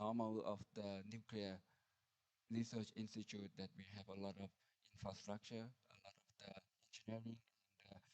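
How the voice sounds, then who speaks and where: A man with a Thai accent speaks at a moderate pace in a fairly low, monotone voice with flat intonation, long and frequent pauses, and big swings in loudness. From Thailand. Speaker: nuclear research institute director. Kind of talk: conference presentation. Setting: conference hall with audience. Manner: halting, many fillers.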